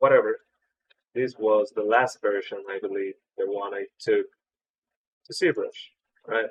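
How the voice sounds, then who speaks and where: A man with a non-native accent speaks at a fairly slow pace, leaving long, frequent pauses. The sound is dry and close, with no echo. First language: not English. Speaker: 3D artist. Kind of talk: tutorial. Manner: casual, filler-heavy.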